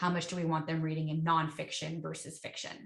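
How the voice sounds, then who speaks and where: A woman's fairly low voice, fairly quick, with monotone, flat intonation. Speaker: education software account executive. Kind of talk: webinar product Q&A.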